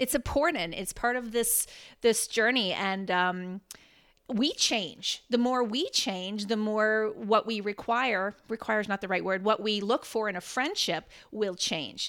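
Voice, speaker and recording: A woman with a Canadian accent and a plain, everyday voice, fairly high in pitch with ordinary pitch variation, on a very clean recording with a silent background. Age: 40s. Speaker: fitness coach and speaker. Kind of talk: casual chat. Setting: home kitchen studio.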